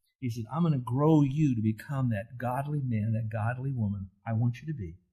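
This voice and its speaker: This man's voice sits at a medium pitch and is somewhat breathy. It carries a dark, mellow tone, and his pitch varies in an ordinary way. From US. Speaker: Bible teacher. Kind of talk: sermon. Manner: animated; conversational.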